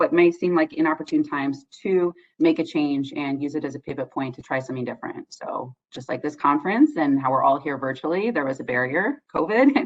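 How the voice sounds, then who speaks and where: This woman speaks at a fairly quick pace. She leaves hardly any pauses. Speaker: social worker presenting on addiction treatment. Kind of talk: conference presentation. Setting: virtual conference. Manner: fast.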